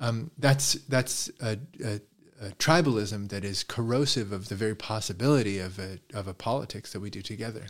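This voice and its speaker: A plain, everyday voice moves at a moderate pace with ordinary pitch variation, on a very clean recording with a silent background. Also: man, fairly low pitch for a man. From Canada, Toronto. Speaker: philosophy professor. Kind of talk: interview conversation.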